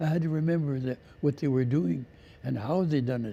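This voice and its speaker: Lively intonation from a man with a fairly high pitch and a dark, mellow tone. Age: 80s+. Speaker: First Nations elder. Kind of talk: interview.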